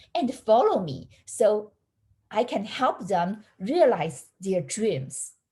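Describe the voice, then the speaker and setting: A woman's voice sits fairly high and swings very widely in pitch. Vocal fry runs through it. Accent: non-native. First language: not English. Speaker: college counselor. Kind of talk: prepared speech. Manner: halting.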